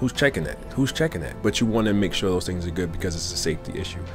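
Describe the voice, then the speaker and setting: With clear music playing behind him, a man talks very fast at a fairly low pitch. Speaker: car sales tips vlogger. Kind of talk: casual tips talk to camera.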